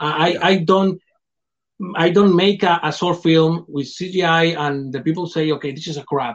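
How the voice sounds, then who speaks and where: In a non-native accent, the speaker delivers fairly even intonation at a fairly slow pace. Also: man, high pitch for a man. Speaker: film director. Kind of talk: interview. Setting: video call. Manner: halting.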